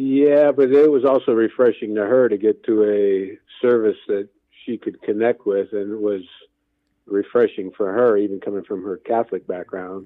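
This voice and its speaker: Speaking at a fairly low pitch, a man talks with an Inland North American accent. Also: ordinary pitch variation, moderate pace. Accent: Midwestern American (Inland North). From northwest Indiana (Gary). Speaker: men's ministry leader. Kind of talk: interview.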